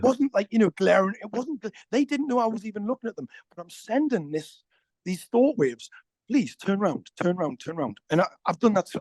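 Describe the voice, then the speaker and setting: The speaker talks at a fairly quick pace in a Somerset accent. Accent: Somerset, West Country. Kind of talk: casual conversation. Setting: outdoors.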